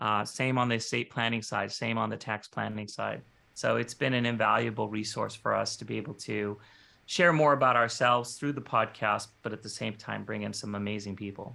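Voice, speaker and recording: Over a silent background in a very clean recording, a man speaks at a fairly quick pace. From US, Mexican American. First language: Spanish. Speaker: financial advisor and marketing head. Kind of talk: podcast interview. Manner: conversational, with fillers.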